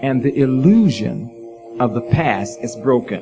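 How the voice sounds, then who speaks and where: A man at medium pitch and a very slow pace, with music in the background. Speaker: preacher. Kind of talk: sermon to live audience.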